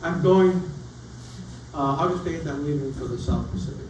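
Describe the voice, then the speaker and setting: The voice belongs to a man. The room echo is audible, and the background noise is noticeable. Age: 80s+. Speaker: sailor giving travel talk. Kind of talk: travel talk with audience Q&A. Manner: casual, conversational.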